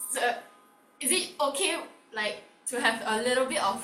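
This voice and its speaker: The voice is loud, heard with audible room echo and noticeable background noise. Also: woman. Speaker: online workshop host. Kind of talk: interactive online workshop.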